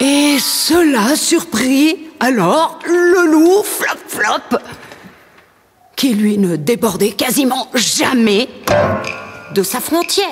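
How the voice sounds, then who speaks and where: Over music in the background, a woman talks at a very slow pace. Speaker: storyteller, poet. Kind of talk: rhythmic declamation of a Christmas tale over piano and percussion. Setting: studio. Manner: rhythmic.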